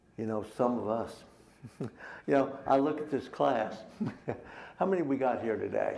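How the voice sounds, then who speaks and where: With an American accent and a dark, mellow tone, a man speaks with long, frequent pauses amid audible room echo. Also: medium pitch for a man, ordinary pitch variation, moderate pace. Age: 70s. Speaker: Sunday school teacher. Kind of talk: Bible class teaching.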